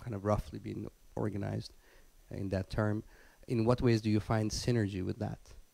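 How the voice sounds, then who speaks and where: At a moderate pace, a man with a fairly low pitch and a dark, mellow tone speaks in a monotone, flat intonation, the sound dry with no echo. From Iran. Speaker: audience member asking question. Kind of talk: audience question. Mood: thoughtful, hesitant. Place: home room. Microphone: handheld.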